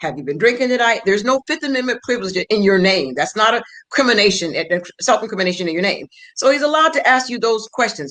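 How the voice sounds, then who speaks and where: Vocal fry marks this very fast delivery. The pitch swings very widely. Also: woman, fairly high pitch for a woman. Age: 60s. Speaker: former prosecutor, legal guest. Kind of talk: round table legal discussion.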